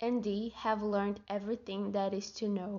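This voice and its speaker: In a medium pitch, a woman speaks with a monotone, flat intonation. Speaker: podcaster. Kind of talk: casual solo monologue. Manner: halting, with self-corrections; frequent laughter.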